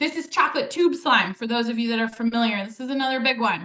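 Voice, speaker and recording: A woman speaks in a raised, projected voice at a high pitch. Her tone is bright and sharp, her intonation lively. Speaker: ecologist giving a naturalist talk. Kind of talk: presentation to a live audience. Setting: community event with audience. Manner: fast.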